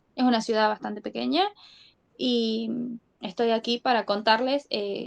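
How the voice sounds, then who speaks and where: A woman with a northwestern Argentine accent speaks at a fairly slow pace and fairly high pitch with ordinary pitch variation, in a dry, close sound with no echo. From Argentina, Catamarca. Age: 20s. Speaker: abuse survivor guest. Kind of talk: testimony.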